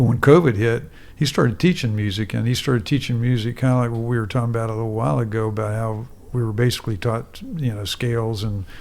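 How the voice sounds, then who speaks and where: This man speaks at a very fast pace with an American accent. His pitch variation is ordinary. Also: medium pitch for a man. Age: 60s. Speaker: musician. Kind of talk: casual chat. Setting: studio.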